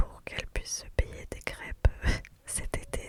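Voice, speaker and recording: Whispering at a fairly slow pace in a relaxed tone, a woman speaks over noticeable background noise. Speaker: ASMR content creator; mother of daughters. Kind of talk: casual chatty talk to camera (blabla), close-mic ASMR. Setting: recorded in a parked car. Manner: soft, relaxed, chatty.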